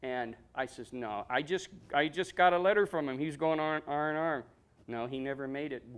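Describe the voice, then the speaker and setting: A man with an Ohio accent at a moderate pace, ordinary pitch variation, on a very clean recording with a silent background. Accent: Midwestern American (Ohio). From Ohio, Medina. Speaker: war veteran. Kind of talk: interview. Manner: halting.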